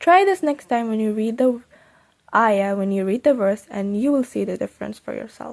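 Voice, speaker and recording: A woman with a Persian accent, fairly high in pitch, with lively intonation. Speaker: Quran learning YouTuber. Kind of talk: tutorial. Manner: animated.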